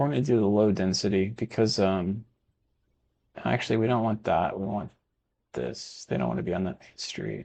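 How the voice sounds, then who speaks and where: A man with a slight Texan accent and a dark, mellow tone speaks at a moderate pace and a fairly low pitch, with very wide pitch swings, big swings in loudness, and long, frequent pauses. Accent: Texas accent, slight. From Texas. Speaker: video game streamer. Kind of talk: gameplay commentary; casual chat. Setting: live stream. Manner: casual, chatty.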